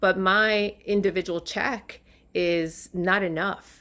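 The recording is very clean with a silent background, capturing a woman in a normal speaking voice, her pitch fairly low and her intonation fairly even. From New York City and Puerto Rico. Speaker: impact investment fund CEO. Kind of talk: interview. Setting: podcast interview.

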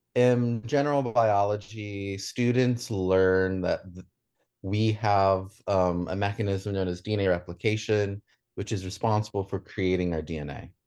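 A man speaks at a moderate pace in a plain, everyday voice, fairly low in pitch. His intonation is fairly even, and the background is quiet. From US South, Shenandoah Valley, Virginia. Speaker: chemistry graduate student. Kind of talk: radio interview.

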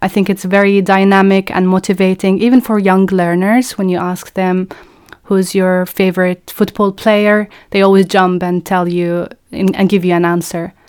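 Flat, monotone intonation marks this woman's medium-pitched speech at a moderate pace. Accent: Arabic. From Palestine. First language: Arabic. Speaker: podcast co-host and education researcher. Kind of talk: educational podcast conversation.

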